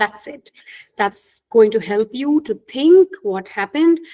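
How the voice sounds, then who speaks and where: A woman with an Indian accent speaks at a moderate pace in a dark, mellow tone with lively intonation. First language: Hindi. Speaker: career coach. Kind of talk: webinar talk.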